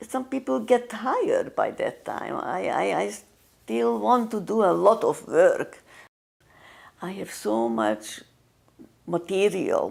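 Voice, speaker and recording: Leaving long, frequent pauses, a woman speaks at a very slow pace. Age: 80s+. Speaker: artist. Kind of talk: casual chat. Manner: halting.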